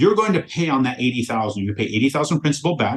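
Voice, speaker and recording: This man speaks very fast with an American accent, his voice somewhat breathy. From rural US, cattle ranch. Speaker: mortgage lender for real estate investors. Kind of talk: podcast interview. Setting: podcast recording. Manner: animated.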